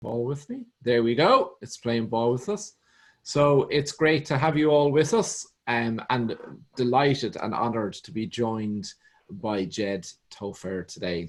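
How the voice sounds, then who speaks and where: A man with a medium pitch talks fairly slowly, his intonation lively and his loudness swinging widely. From Ireland. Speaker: show host. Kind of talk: show introduction.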